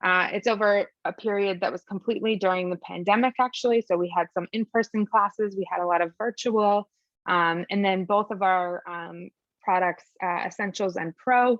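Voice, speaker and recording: A woman talks at a medium pitch, keeping her intonation fairly even. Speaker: program presenter. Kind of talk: webinar presentation. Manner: fast.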